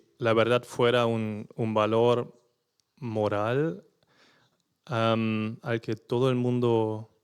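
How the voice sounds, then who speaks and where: In a very clean recording with a silent background, a man with a non-native accent speaks at medium pitch in a flat monotone. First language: not Spanish (speaking Spanish). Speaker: journalist. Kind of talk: panel discussion. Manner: halting.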